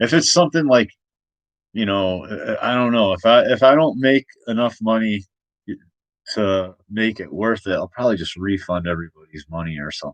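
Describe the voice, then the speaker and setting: The setting is quiet. A man talks at a moderate pace. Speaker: comic artist streamer. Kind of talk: casual live stream chat. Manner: loud; halting, many fillers. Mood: thoughtful, a bit worried. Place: home room. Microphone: webcam.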